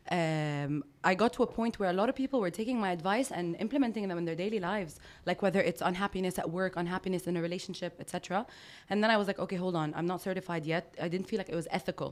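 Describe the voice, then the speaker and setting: At a very fast pace, a woman with a Lebanese accent speaks in an animated tone. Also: medium pitch for a woman, ordinary pitch variation. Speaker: life coach and women empowerment speaker. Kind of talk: casual interview. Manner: loud.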